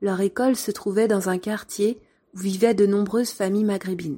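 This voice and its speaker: A woman's dark, mellow, medium-pitched voice at a moderate pace, with fairly even intonation. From France. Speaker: former primary school teacher, podcaster. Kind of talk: storytelling narration.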